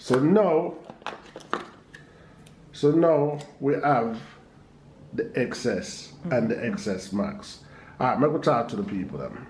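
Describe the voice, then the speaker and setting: With a Jamaican accent, a man with a fairly high voice talks at a fairly slow pace with very wide pitch swings and long, frequent pauses, amid noticeable background noise. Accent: Jamaican Patois. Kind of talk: casual vlog talk to camera.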